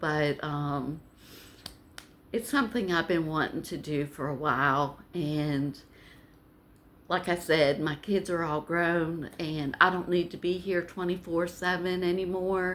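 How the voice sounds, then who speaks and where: Her voice is fairly low, and this woman speaks at a fairly slow pace with ordinary pitch variation. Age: 60s. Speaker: vlogger. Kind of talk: casual vlog talk.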